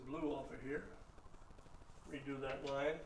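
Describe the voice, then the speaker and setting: A man's voice is heard with audible room echo. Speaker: math teacher. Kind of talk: lecture.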